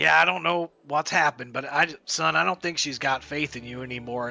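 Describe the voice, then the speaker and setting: Putting on a character voice, a man speaks at a fairly quick pace with a raspy, medium-pitched sound. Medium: actual play. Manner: blunt, gruff.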